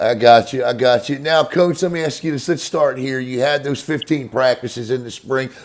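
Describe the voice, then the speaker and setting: Speaking with an American accent, a man keeps a moderate pace and a medium pitch. His intonation is fairly even, and he hardly pauses. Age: 50s. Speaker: sports show host. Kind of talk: interview. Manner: repetitive, filler-heavy.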